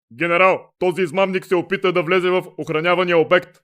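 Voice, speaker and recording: Putting on a character voice, the man speaks at a high pitch with monotone, flat intonation. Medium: fan dub. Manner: curt, military.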